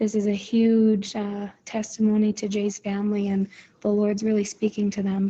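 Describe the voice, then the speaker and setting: A woman mumbles at a moderate pace in a medium pitch, her intonation monotone and flat. Her voice is somewhat breathy, with a dark, mellow tone. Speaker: accident survivor sharing prayer update. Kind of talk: voice message to prayer group. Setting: voice message app. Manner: mumbling.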